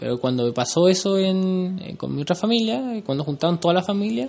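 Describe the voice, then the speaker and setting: A man speaks with a high pitch. His intonation is lively. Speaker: podcast co-host. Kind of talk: casual chat.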